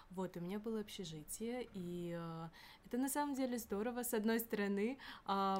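Medium pitch and ordinary pitch variation from a woman, an unremarkable speaking voice at a moderate pace. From Kyrgyzstan. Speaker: university student. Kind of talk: casual chat.

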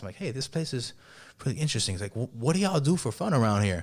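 A very fast-talking man with a Miami accent, very wide pitch swings, and a very clean recording with a silent background. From Miami, Florida. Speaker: rapper. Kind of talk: casual chat.

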